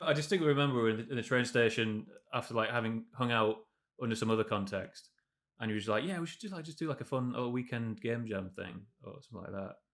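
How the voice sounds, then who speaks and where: A man with a northern English accent talks very fast at a medium pitch, with ordinary pitch variation and big swings in loudness. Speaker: game developer. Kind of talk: interview. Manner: casual, halting with fillers.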